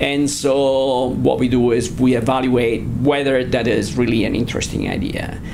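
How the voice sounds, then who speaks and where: Speaking in an Italian accent with hardly any pauses, a man delivers his words in a monotone, flat intonation over noticeable background noise. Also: moderate pace. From Italy. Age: 50s. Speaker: asset management firm founder and research director. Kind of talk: interview. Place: office.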